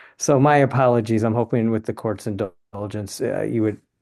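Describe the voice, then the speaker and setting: Over a quiet background, a man speaks fairly quickly in a fairly low, dark, mellow voice with fairly even intonation. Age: 60s. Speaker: attorney. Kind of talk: court hearing. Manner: halting.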